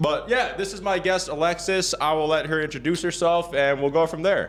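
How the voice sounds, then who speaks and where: Loud and energetic, a man with a high pitch and an American accent speaks at a fairly quick pace. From Minnesota, US Midwest. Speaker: podcast host. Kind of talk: casual chat.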